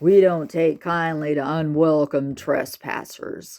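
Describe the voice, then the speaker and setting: This is a put-on character voice at a middle pitch. It moves at a fairly slow pace. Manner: threatening.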